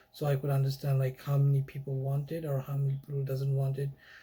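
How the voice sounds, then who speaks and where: A man's dark, mellow tone, fairly high in pitch and somewhat breathy. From Bangladesh. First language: Bengali. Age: 20s. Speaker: YouTuber. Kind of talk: casual monologue. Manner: halting.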